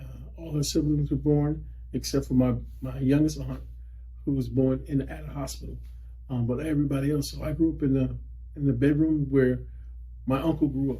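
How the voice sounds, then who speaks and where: With an American accent, a man talks at a fairly quick pace but with long, frequent pauses, and room echo is audible. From US South, Lowcountry South Carolina (Wadmalaw Island, Gullah Geechee). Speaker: school district employee sharing heritage. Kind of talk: interview. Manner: halting, many fillers and restarts.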